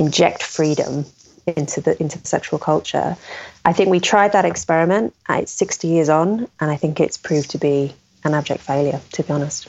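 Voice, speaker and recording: This woman has a normal speaking voice, fairly low in pitch, with ordinary pitch variation and a fairly quick pace. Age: 30s. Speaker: author and commentator on sex and culture. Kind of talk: interview.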